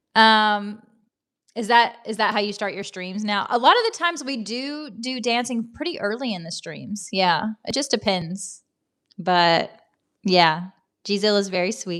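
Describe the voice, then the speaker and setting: Speaking at a fairly slow pace in a strong Southern American accent, a woman with a fairly high pitch uses lively intonation and big swings in loudness. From US South. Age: 40s. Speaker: livestreamer. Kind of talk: casual chat. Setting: livestream from laptop.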